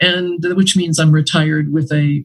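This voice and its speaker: A somewhat breathy woman with an American accent, her pitch fairly low, her pace fairly quick. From Brazil, then United States from about age eight. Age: 70s. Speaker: retired anthropology professor. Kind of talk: interview conversation. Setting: podcast interview.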